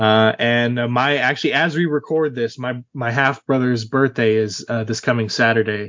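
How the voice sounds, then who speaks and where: A plain, everyday voice: a man at medium pitch, fairly even intonation, moderate pace, hardly any pauses. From Central Texas. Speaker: podcast co-host. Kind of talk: casual chat.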